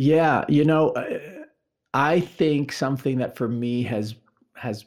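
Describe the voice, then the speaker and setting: A man talks at a fairly slow pace with ordinary pitch variation. He has a normal speaking voice. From New York. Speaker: nonprofit executive. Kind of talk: interview.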